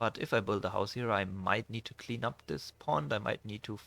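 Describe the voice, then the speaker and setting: A man with a non-native accent and vocal fry speaks at a moderate pace. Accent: non-native English, audible. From Germany. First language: German. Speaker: gaming YouTuber. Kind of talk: gameplay commentary. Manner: halting, many fillers; relaxed, casual.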